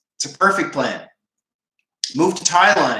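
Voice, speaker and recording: The speaker talks at a moderate pace in a Canadian East Coast accent. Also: man. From Maritime Canada, Moncton, New Brunswick. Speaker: schoolteacher and vegan livestreamer. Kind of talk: casual livestream chat reading viewer comments.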